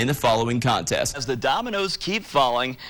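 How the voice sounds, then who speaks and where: Against noticeable background noise, a man with a fairly high pitch talks at a fairly quick pace. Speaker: sports anchor and reporter. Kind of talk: TV sports montage voiceover.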